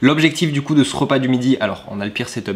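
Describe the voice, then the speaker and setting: There is noticeable background noise throughout. Over it, a man talks. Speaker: fitness and weight-loss youtuber. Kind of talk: vlog-style cooking tutorial. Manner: casual, chatty.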